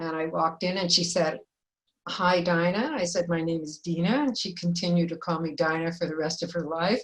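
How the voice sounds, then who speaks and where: Somewhat breathy, a woman with a fairly low pitch speaks at a fairly quick pace with fairly even intonation. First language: Yiddish. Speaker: filmmaker and former teacher. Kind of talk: panel discussion.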